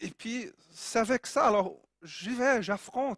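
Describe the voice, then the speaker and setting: A man talks with a Brazilian accent and ordinary pitch variation. The sound is dry and close with no echo, on a very clean recording with a silent background. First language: Portuguese (speaking French). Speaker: preacher. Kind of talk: sermon.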